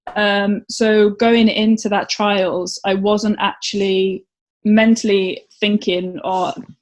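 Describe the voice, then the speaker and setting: A woman speaks with a Welsh accent. Her voice is fairly high and somewhat breathy. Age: 30s. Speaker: competitive swimmer. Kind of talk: casual interview.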